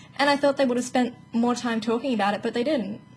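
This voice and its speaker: A woman with an Australian accent speaks in a high voice. Music plays in the background. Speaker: gaming YouTuber. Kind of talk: casual video commentary. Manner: fast.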